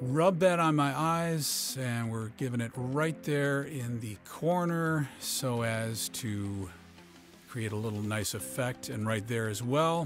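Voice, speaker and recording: With music in the background, the speaker talks at a very slow pace in a playful tone, with lively intonation. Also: man, medium pitch for a man. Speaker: father. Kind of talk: comedic voice-over narration of a makeup tutorial. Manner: joking, playful, hesitant.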